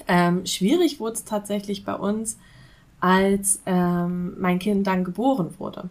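A woman talks in a normal speaking voice. Her pitch is medium, with ordinary pitch variation. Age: 30s. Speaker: business consultant for freelancers. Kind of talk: podcast interview.

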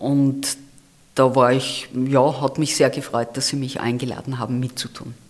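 A woman speaks in a very deep, low voice. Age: 60s. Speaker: campaign leader and retired auditor. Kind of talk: interview.

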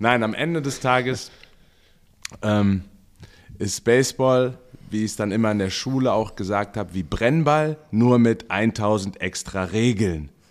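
A man with a medium-pitched voice speaks fairly slowly with ordinary pitch variation. He leaves long, frequent pauses. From Mainz, Germany. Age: 30s. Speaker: podcast co-host, baseball coach. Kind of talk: casual chat.

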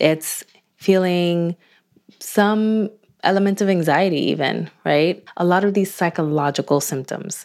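A plain, everyday voice from a woman, fairly low in pitch with ordinary pitch variation, at a fairly slow pace on a very clean recording with a silent background. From Dominican Republic, moved to US at five. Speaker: psychologist. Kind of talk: interview.

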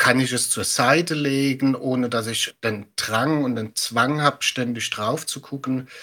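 At a fairly slow pace, a man with a medium pitch speaks in a bright, sharp tone and fairly even intonation.

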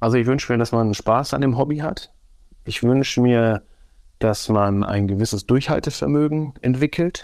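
A man speaks at a moderate pace in a normal speaking voice, medium in pitch, against a quiet background. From Germany, Osnabrück. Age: 40s. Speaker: football referee and teacher. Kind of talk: interview conversation.

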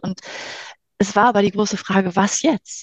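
A woman speaks at a moderate pace, her voice somewhat breathy. The sound is dry and close, with no echo. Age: 50s. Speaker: life coach. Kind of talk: casual interview.

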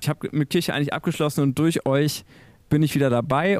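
On a very clean recording with a silent background and a dry, close sound with no echo, a man with a fairly high pitch speaks at a very fast pace with fairly even intonation. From Münsterland, western Germany. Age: 40s. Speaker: church media editor. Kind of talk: podcast interview.

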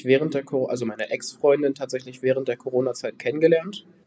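A man's medium-pitched voice with a dark, mellow tone. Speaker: trainee. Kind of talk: recorded testimony.

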